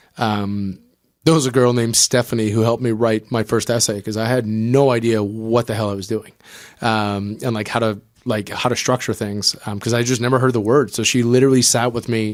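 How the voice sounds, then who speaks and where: This man talks at a fairly quick pace with a slight French-Canadian accent. His pitch is medium and his intonation monotone and flat. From New Brunswick, Canada (Acadian French). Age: 30s. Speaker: startup co-founder. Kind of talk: podcast interview. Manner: casual, with frequent filler 'um'.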